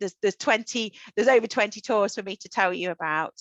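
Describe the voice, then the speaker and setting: A woman with a British accent has a bright, sharp tone. The sound is dry and close with no echo, over a quiet background. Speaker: solo tour company representative. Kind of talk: online travel presentation.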